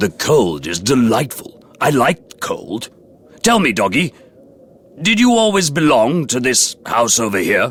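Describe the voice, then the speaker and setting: At a fairly slow pace, a man with a medium-pitched voice performs a put-on character voice. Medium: read story. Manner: innocent, wondering.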